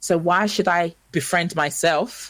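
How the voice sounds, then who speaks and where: A woman with a normal speaking voice at a fairly low pitch and a moderate pace. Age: 30s. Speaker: motivational speaker and presenter. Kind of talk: radio interview. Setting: live radio broadcast.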